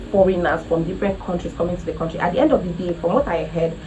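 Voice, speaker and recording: An animated woman with a Nigerian accent and a medium pitch talks at a very fast pace, with audible room echo and noticeable background noise. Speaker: travel vlogger. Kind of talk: casual vlog talk to camera.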